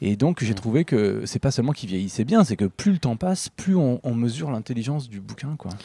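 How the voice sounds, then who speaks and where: A man's medium-pitched voice, dark and mellow, with lively intonation and hardly any pauses, recorded very cleanly against silence in a dry, close sound with no echo. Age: 40s. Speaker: book publisher. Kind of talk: interview conversation. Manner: hesitant with fillers.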